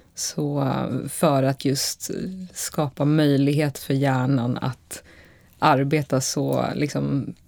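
A woman's very deep, low voice carries a dark, mellow tone and a monotone, flat delivery. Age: 30s. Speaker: photographer. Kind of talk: casual interview.

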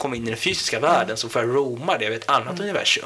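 A man's medium-pitched voice, very fast and with ordinary pitch variation, over noticeable background noise. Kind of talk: interview. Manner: halting.

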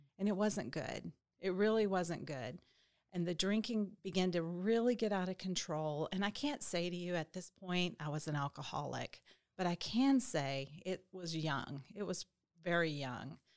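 Speaking at a moderate pace with a Southern US accent, a woman uses a fairly low pitch and lively intonation. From Arkansas (Little Rock). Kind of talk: testimony.

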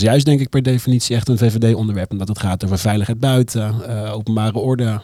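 Talking at a fairly quick pace, a man with a medium pitch has a dark, mellow tone and fairly even intonation. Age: 30s. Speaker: comedian. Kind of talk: casual chat. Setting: studio.

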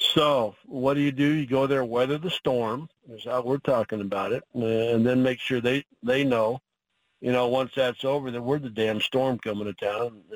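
This is a man with an American accent and an unremarkable speaking voice. He holds a medium pitch with fairly even intonation. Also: moderate pace. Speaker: college football head coach. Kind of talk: casual interview.

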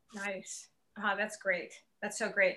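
The tone is bright and sharp. It sounds animated and enthusiastic. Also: woman. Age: 60s. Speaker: podcast host, motivational coach. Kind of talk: casual interview chat. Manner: animated, enthusiastic.

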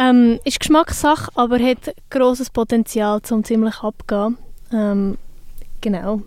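This woman has a plain, everyday voice with a fairly high pitch. She speaks fairly slowly with fairly even intonation. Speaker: radio host. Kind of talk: casual chat.

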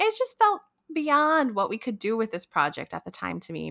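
A woman talks at a moderate pace in a very clean recording with nothing in the background. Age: 30s. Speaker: podcast co-host and producer. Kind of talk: casual chat. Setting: home studio.

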